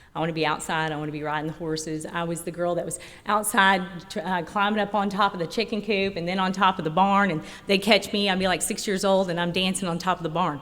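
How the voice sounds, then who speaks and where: Speaking at a very fast pace, a woman with a slight Oklahoma accent keeps a medium pitch and fairly even intonation. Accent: slight country Oklahoma. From rural Oklahoma. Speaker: recovering alcoholic speaker. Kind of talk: recovery meeting talk. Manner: conversational, with many fillers.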